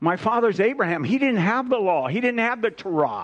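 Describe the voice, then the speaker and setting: Here is a man with a high pitch. His intonation is lively. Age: 70s. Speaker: preacher. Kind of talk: sermon. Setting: church.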